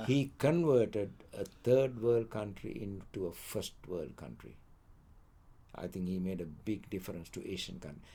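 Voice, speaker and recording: With big swings in loudness, a man speaks in a dark, mellow tone at a fairly low pitch, his intonation lively. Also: moderate pace. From Sri Lanka. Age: 80s+. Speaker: economics lecturer. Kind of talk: interview answer.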